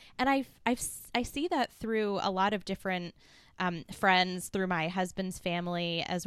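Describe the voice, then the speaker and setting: A woman's normal speaking voice with an American accent, medium pitch and ordinary pitch variation, on a very clean recording with a silent background. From US East Coast. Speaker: podcast host. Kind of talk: interview.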